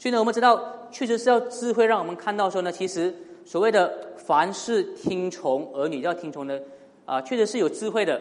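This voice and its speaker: A man talks at a fairly quick pace with a high pitch and lively intonation. Noticeable background noise sits behind him. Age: 30s. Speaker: pastor. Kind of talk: sermon. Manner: frequent fillers and hesitations.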